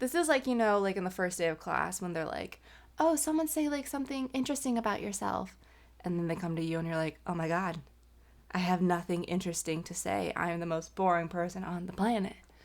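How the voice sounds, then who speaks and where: On a very clean recording with a silent background, a woman mumbles at a very fast pace. Her intonation is lively. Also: medium pitch for a woman. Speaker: vlogger. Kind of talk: casual chat. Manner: mumbling.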